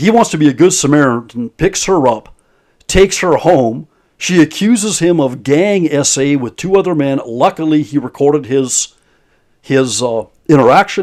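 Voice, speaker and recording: Lively intonation carries this speech along at a moderate pace. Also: man, fairly high pitch for a man. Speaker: commentary youtuber. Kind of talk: video commentary. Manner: halting, repeated words.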